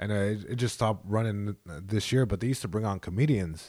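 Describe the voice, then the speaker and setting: The recording is very clean with a silent background as a man with an American accent and a fairly low voice speaks at a fairly quick pace. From Long Beach, California. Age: 20s. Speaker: comedian. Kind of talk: casual chat.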